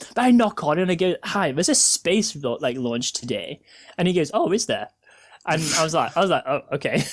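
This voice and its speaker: A man talks fairly quickly in a high pitch that swings very widely. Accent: British. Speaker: podcast host. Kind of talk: casual chat.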